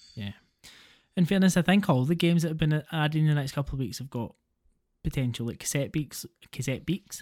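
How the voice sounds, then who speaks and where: A man with a Scottish accent, fairly high pitch, ordinary pitch variation, a somewhat breathy voice, a fairly quick pace, long, frequent pauses, and a dry, close sound with no echo on a very clean recording with a silent background. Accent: Scottish, slight to moderate. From Scotland. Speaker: gaming podcast host. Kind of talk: casual chat.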